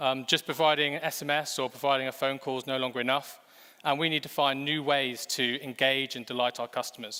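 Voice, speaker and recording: With an English accent, a man talks at a fairly quick pace in a medium pitch. His tone is bright and sharp, and his intonation is monotone and flat. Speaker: fintech executive. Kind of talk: conference presentation. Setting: stage with audience.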